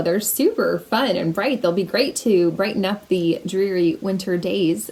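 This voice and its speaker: A woman's medium-pitched voice with lively intonation at a fairly slow pace, over noticeable background noise. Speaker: knitting podcaster. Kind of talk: casual video podcast chat.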